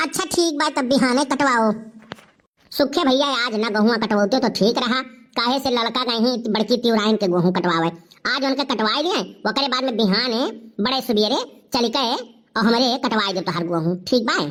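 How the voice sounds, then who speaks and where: Putting on a cartoonish character voice, a woman speaks high-pitched with lively intonation at a moderate pace. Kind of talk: rustic Awadhi cartoon comedy. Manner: brisk, commanding, homely.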